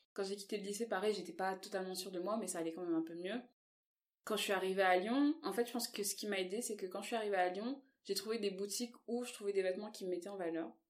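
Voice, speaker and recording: Very fast pace with fairly even intonation. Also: woman, medium pitch for a woman. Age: 20s. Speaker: plus-size model. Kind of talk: casual interview.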